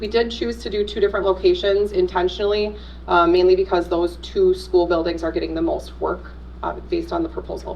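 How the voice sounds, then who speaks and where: A woman keeps a fairly quick pace, and noticeable background noise can be heard throughout. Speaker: school district communications presenter. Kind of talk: presentation to school board. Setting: public meeting. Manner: fast.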